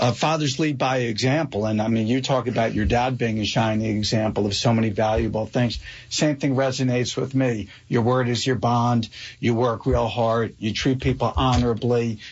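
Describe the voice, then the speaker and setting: Somewhat breathy speech at a moderate pace, with fairly even intonation and very even loudness. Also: man, medium pitch for a man. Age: 50s. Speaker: radio show host. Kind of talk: interview conversation.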